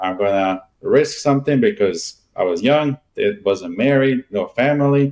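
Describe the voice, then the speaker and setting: A man's medium-pitched voice with a Bosnian accent, fairly slow in pace, with lively intonation. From Bosnia and Herzegovina, then Germany. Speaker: real estate agent. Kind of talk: interview.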